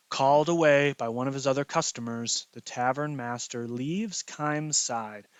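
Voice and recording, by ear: A natural voice reading aloud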